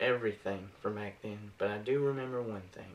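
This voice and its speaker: A man's ordinary speaking voice at a medium pitch, with fairly even intonation. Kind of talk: eulogy speech delivered to an audience. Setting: public speaking, delivered to a room of attendees.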